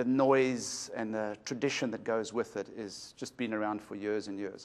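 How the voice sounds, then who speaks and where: With a South African accent, a man is talking. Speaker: shop owner. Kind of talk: interview. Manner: halting.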